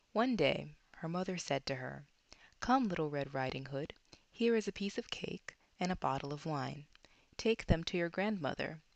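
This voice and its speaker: This woman speaks at a moderate pace with lively intonation. The background is quiet. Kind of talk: bedtime story reading; relaxation / ASMR narration.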